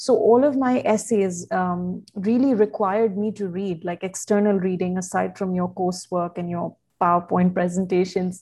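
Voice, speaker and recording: A woman speaks at a moderate pace and medium pitch, her tone dark, mellow and somewhat breathy. Her intonation stays fairly even against a quiet background. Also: hardly any pauses. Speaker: communication specialist and writer. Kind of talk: interview conversation.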